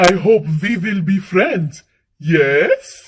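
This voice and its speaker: A woman's put-on character voice with ordinary pitch variation. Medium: read story. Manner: theatrical, grand, exclamatory.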